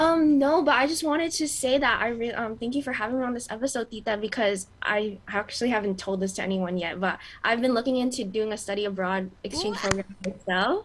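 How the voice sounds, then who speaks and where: Over noticeable background noise, a woman talks at a very fast pace with a fairly high pitch, lively intonation and hardly any pauses. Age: young. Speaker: nursing student, co-host. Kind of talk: casual chat.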